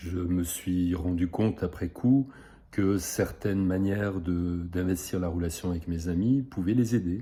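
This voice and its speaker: A man speaks very slowly with a very deep, low pitch and ordinary pitch variation. His tone is dark and mellow. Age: 60s. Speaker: psychosomatic therapist. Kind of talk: self-presentation video. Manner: hesitant, many filler sounds.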